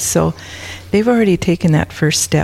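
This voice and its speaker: Noticeable background noise sits under the recording. A woman speaks in an Upper Midwest accent. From South Dakota. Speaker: prison ministry volunteer.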